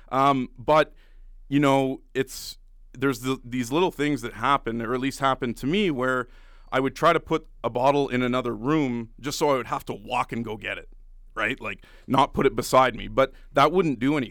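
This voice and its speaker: Using an unremarkable speaking voice, a man with a Canadian accent talks at a medium pitch and moderate pace with fairly even intonation, on a very clean recording with a silent background. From Canada, Ottawa. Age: 30s. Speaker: radio show producer. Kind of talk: testimony.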